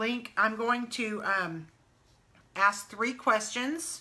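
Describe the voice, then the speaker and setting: A woman's medium-pitched voice with a bright, sharp tone. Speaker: travel agent. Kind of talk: casual live stream Q&A. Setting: live video stream. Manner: fast.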